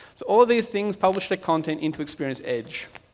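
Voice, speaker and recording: A man talks with an Australian accent. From Australia (Melbourne). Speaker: software architect. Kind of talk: conference talk. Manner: casual, with frequent fillers.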